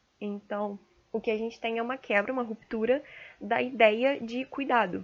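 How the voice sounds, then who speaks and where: Her fairly high voice moves at a moderate pace as this woman keeps her intonation fairly even. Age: young. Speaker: medical student. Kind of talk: solo monologue podcast. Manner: hesitant, many fillers.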